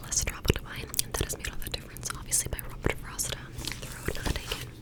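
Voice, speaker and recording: Noticeable background noise fills the clip. Through it, a woman whispers fairly quickly. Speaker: ASMR creator. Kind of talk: ASMR book reading. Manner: whispered, soft.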